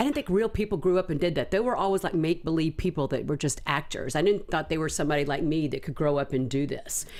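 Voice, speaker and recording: With an American accent, a woman talks at a very fast pace in an animated tone, hardly pausing at all. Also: fairly low pitch for a woman, ordinary pitch variation. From US South. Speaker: actress and singer. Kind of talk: interview.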